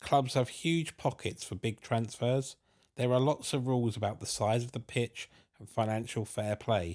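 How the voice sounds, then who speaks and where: In a southern English accent, a man speaks at a moderate pace with medium pitch and ordinary variation. The recording is very clean, with a silent background. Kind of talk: scripted narration.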